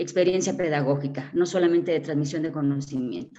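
A dark, mellow tone marks this woman's voice. The rise and fall of her pitch is ordinary. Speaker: seminar participant, teacher. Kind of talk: discussion contribution. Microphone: choppy internet connection.

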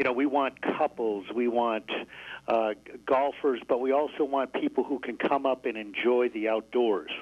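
A man with an American accent has a plain, everyday voice at medium pitch, speaking at a moderate pace with fairly even intonation. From Syracuse, New York. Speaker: resort manager. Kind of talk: radio interview.

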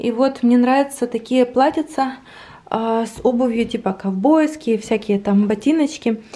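A woman speaks with a dark, mellow tone at a fairly high pitch. Her pace is moderate and her pitch variation ordinary. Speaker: vlogger. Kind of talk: casual vlog chat. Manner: animated, emotional. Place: home room.

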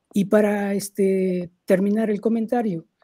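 Pitched high, a man with a dark, mellow tone speaks at a fairly slow pace with little pitch movement.

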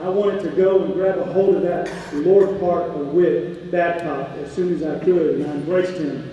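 Strong room echo and light background noise around a voice with fairly even intonation. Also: man, high pitch for a man, moderate pace, hardly any pauses. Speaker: campus ministry chaplain. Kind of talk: ministry update speech. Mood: warm, faith-focused. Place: hall.

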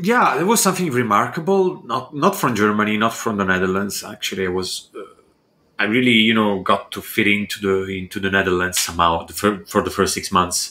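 The speaker has a bright, sharp tone, moves at a fairly quick pace, and shows ordinary pitch variation. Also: man, fairly low pitch for a man. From Italy. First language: Italian. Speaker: architectural visualization artist and entrepreneur. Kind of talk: casual interview chat. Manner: halting, with frequent repetitions.

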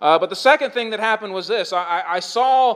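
A loud man speaks fairly quickly at a high pitch with ordinary pitch variation, over noticeable background noise. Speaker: pastor. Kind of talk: sermon.

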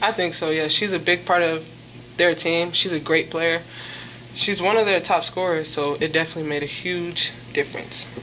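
A woman with a fairly low pitch and fairly bright tone talks at a moderate pace with fairly even intonation over faint background noise.

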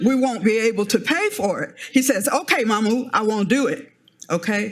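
In an American accent, a woman with a fairly high, somewhat breathy voice uses lively intonation amid audible room echo. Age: 70s. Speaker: member of the public giving public comment. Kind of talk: public comment at city council meeting. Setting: city council chamber.

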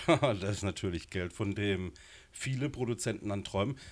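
His pace is moderate, neither rushed nor slow. The pitch of this man's voice moves in an ordinary way. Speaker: guest. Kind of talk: interview answer. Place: studio. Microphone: handheld.

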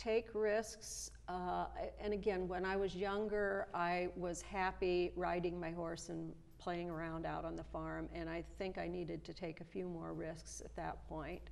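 The speaker talks at a fairly slow pace with a US Midwestern accent. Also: woman. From Nebraska (rural, near Omaha); Nebraska. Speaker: retired high school German teacher; interview guest. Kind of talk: interview, casual chat. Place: studio. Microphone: lapel.

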